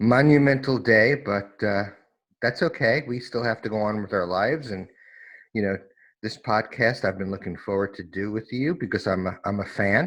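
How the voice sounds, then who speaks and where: This man has a normal speaking voice with an American accent, fairly low in pitch, with ordinary pitch variation and a moderate pace. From New York, US. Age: 60s. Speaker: recovery specialist, former lawyer. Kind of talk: personal testimony interview. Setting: remote call.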